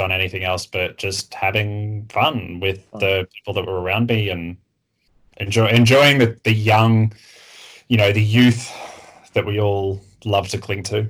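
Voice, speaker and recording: Speaking at a fairly slow pace, a man with an Australian accent uses a fairly low, somewhat breathy voice. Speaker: community member interviewee. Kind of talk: casual chat. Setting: remote call.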